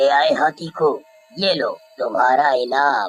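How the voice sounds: A raspy, cartoonish character voice at a low-to-middle pitch and a fairly slow pace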